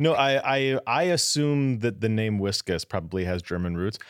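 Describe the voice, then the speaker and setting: With lively intonation and an American accent, a man talks in an ordinary speaking voice at a fairly low pitch, in a very clean recording with a silent background. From US West (Southern California and Denver suburbs). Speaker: podcast host. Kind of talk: casual chat.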